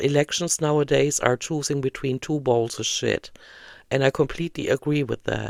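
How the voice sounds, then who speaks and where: A moderate pace with a German accent, in a very clean recording with a silent background. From Germany. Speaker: vlogger. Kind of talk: casual monologue vlog. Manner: hesitant, many fillers.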